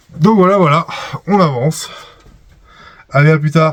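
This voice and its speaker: The man's fairly quick speech carries ordinary variation in pitch. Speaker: camper van vlogger. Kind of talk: casual vlog commentary.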